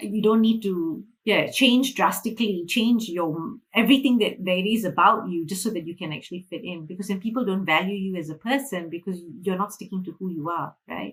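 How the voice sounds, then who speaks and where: Speaking with a Malaysian accent, a woman talks at a fairly quick pace in a somewhat breathy voice with ordinary pitch variation and big swings in loudness. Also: medium pitch for a woman, hardly any pauses. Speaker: financial freedom mentor. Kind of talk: interview.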